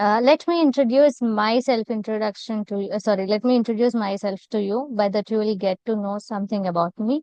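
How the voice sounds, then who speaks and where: With an Indian accent, a woman talks at a fairly quick pace with hardly any pauses, her pitch fairly high and ordinary in variation. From India, Telangana. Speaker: content creator, English practice host. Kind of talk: casual conversation practice.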